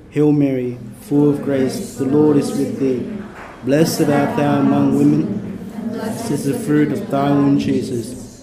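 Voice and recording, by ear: Soft-spoken and slow, a man talks at a medium pitch with a dark, mellow tone and little pitch movement, with audible room echo.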